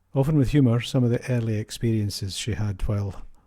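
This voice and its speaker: On a very clean recording with a silent background, a man with a Scottish accent talks very fast in a fairly low, somewhat breathy voice with a dark, mellow tone and ordinary pitch variation. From Scotland, Kinross. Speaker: podcast host. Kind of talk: interview.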